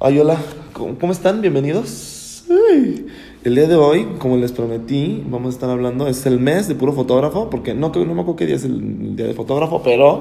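A man talks at a medium pitch in an animated tone with lively intonation and hardly any pauses. Noticeable background noise and audible room echo fill the recording. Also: moderate pace. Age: 30s. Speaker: podcast host. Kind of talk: casual chat.

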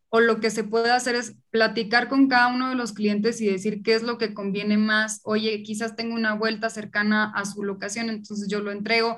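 A woman with a slight Monterrey accent speaks at a moderate pace and a fairly high pitch with monotone, flat intonation. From Monterrey, Mexico. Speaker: food entrepreneur. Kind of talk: casual interview.

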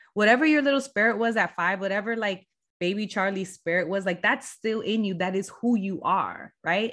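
A woman with a plain, everyday voice, ordinary pitch variation and a fairly quick pace against a quiet background. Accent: American. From Southern California, San Diego. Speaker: brand agency founder. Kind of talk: podcast interview.

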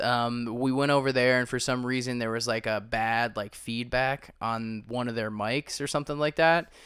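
Recorded very cleanly against a silent background, a normal speaking voice moves at a moderate pace with fairly even intonation. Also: man. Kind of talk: casual chat. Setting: home living room recording. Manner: casual, joking.

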